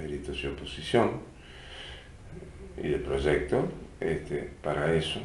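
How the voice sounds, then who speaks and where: A man with a Uruguayan accent at a fairly slow pace, amid noticeable background noise and audible room echo. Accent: Rioplatense Spanish (Uruguayan). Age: 50s. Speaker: musician and cultural venue director. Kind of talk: interview.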